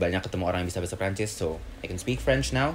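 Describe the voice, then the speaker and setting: This man speaks with an Indonesian accent. His pitch is very deep and low, with ordinary pitch variation. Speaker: student. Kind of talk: casual chat. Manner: code-switching English and Indonesian.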